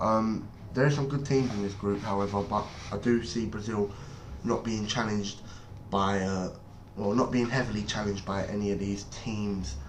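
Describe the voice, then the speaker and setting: Someone with an English accent speaks at a moderate pace with ordinary pitch variation, and audible room echo fills the recording. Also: man. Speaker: football YouTuber. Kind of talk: casual monologue. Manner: hesitant, many fillers.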